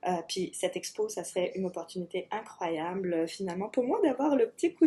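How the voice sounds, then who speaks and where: This woman has a dark, mellow tone. Her intonation is lively. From France. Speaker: artist, graphic designer. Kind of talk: video application pitch.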